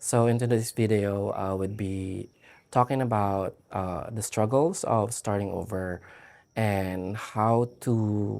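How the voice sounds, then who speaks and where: On a very clean recording with a silent background, a man with a fairly low pitch talks very slowly with fairly even intonation. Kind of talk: casual video diary to camera.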